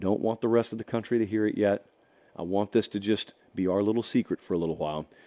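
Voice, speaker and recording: Quiet and raspy, a man rattles off a put-on character voice very fast at a fairly low pitch, the sound dry and close with no echo. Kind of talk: conspiratorial, secretive. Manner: hushed, quiet.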